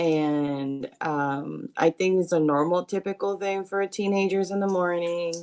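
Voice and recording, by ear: A woman's fairly low voice, clear and smooth with a slightly mellow tone and fairly even intonation.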